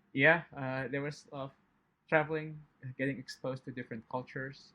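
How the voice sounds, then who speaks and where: The voice has a bright, sharp tone and moves at a moderate pace with monotone, flat intonation. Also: man. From Indonesia. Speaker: chemistry professor. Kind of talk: interview. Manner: hesitant, many fillers.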